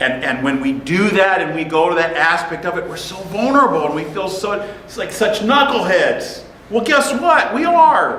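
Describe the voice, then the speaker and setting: Loud and animated, a man with a high pitch swings very widely in pitch, with audible room echo and noticeable background noise. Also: moderate pace. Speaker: pastor. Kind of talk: sermon.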